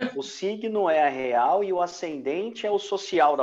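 A man is speaking. His intonation is lively. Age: 40s. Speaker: podcast host. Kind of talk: casual chat. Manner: animated.

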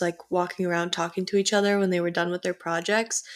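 Very fast talking with an American accent. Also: woman. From US Midwest, North Shore of Chicago. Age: 19. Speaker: podcast co-host, college student. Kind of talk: casual chat.

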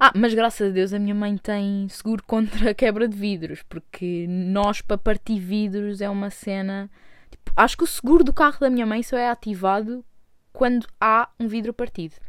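A woman talks at a moderate pace in a medium pitch, with ordinary pitch variation. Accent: Lisbon. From Portugal, Lisbon (Chelas). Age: 20s. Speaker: podcaster. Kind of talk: casual monologue. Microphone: new own microphone.

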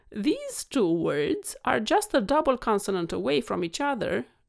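A woman talks at a fairly slow pace with a Romanian accent. The recording is very clean, with a silent background. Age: 40s. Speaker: podcast host and vet, weight coach. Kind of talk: monologue podcast solo talk. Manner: animated, warm, passionate.

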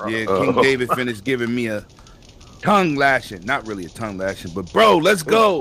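A man's energetic voice at a medium pitch, very wide pitch swings and a fairly quick pace over noticeable background noise. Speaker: voice chat participant in gaming group. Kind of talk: casual slang. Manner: energetic, hype.

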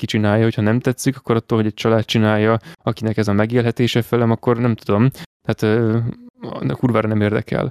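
Very fast, fairly even speech from a medium-pitched man, dry and close with no echo, in a very clean recording with a silent background. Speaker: podcast co-host. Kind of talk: casual chat.

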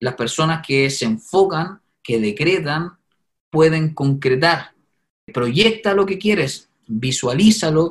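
The man's voice is pitched fairly high. His delivery is very slow. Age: 30s. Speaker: media personality and property investor. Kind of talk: interview testimony.

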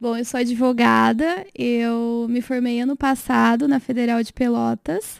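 In a very clean recording with a silent background, a woman with a normal speaking voice talks at a fairly high pitch and a fairly slow pace, her intonation fairly even and hardly any pauses. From interior of São Paulo state (Rio Claro). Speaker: lawyer. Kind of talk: casual interview.

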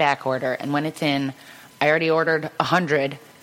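Against noticeable background noise, a woman in an American accent speaks at a moderate pace. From Cleveland, Ohio, US Midwest. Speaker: photographer, custom gift maker. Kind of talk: casual chat. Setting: studio. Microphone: too far from the mic.

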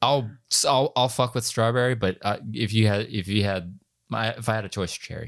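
In a very clean recording with a silent background, a man with an unremarkable speaking voice talks at a moderate pace and medium pitch, with fairly even intonation. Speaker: podcast host. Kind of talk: casual chat.

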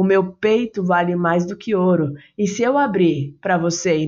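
A woman speaks at a fairly slow pace and fairly low pitch in an animated, playful tone. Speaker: poet performing own poem. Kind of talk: spoken-word poetry, intimate love poem addressed to a 'you'. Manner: animated, playful, rhythmic with rhyme, affectionate and coaxing.

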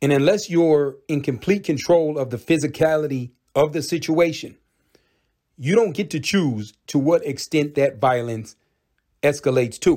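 A man talks at a fairly high pitch with an intense tone that is dark and mellow. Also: ordinary pitch variation, moderate pace, very clean recording, silent background. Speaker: podcast host. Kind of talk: opinion monologue, angry rant. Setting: solo podcast recording. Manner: intense, heated, blunt and profane.

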